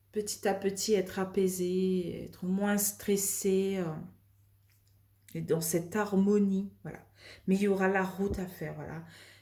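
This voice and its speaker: Amid audible room echo, a woman speaks at a fairly slow pace with long, frequent pauses and big swings in loudness. Her dark, mellow tone sits at a medium pitch, with monotone, flat intonation. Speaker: tarot card reader. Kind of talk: tarot reading. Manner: calm, soft; hesitant, many fillers.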